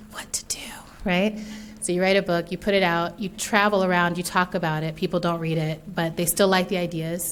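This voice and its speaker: A woman speaks fairly quickly with an American accent. Her pitch sits fairly low. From US, military environment. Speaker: author and speaker. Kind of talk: keynote talk. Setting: stage with audience. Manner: fast; animated.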